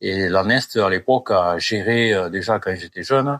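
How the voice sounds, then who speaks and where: The speech moves at a fairly slow pace with fairly even intonation. The sound is dry and close, with no echo. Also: man. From southwest France, Gers (Gascony). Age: 60s. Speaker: retired farmer. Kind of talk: interview. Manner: halting, many hesitations.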